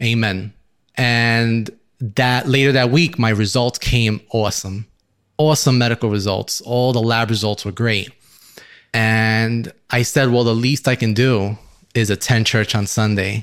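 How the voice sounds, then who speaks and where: In a plain, everyday voice with an American accent, a man of medium pitch speaks at a fairly slow pace with fairly even intonation and very even loudness, on a very clean recording with a silent background. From Brooklyn, New York City. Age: young. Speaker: engineer, church member. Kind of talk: testimony.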